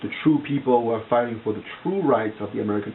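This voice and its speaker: Someone speaks with a non-native accent over noticeable background noise. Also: man. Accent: foreign. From outside the US. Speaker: vlogger. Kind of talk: casual monologue to camera. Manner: halting, many fillers and repetitions.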